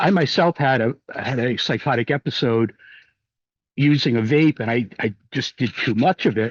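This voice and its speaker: The voice has ordinary pitch variation, and the sound is dry and close with no echo. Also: man. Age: 60s. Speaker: medical cannabis patient commenting at public meeting. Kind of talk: public comment.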